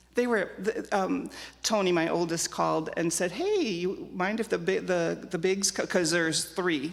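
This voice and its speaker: With an American accent, a woman talks at a moderate pace and a fairly low pitch, and audible room echo surrounds her voice. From Germany, emigrated to US at age 5. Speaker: church member sharing life story. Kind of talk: interview testimony. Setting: church with live audience. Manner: loud.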